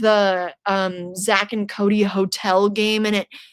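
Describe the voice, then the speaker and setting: An ordinary speaking voice from a woman, fairly high in pitch and fairly slow, in a very clean recording with a silent background. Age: 20s. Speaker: horror YouTuber streaming trivia. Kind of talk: casual livestream chat reading comments.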